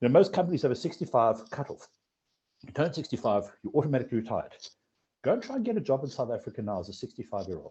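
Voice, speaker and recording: A man talks at a very fast pace, his voice somewhat breathy and his pitch swinging very widely. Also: big swings in loudness. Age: 40s. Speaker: financial advisory firm founder. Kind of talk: podcast interview. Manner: repetitive, halting restarts.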